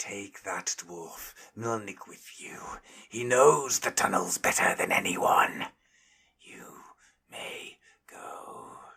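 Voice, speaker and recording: In a put-on character voice, a man hisses and growls at a medium pitch, speaking at a very slow pace with long, frequent pauses and big swings in loudness. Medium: read story.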